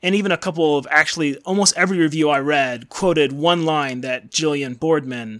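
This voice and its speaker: An ordinary speaking voice comes through a very clean recording with a silent background, at a moderate pace with ordinary pitch variation and big swings in loudness. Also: man. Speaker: podcast co-host. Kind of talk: casual book discussion.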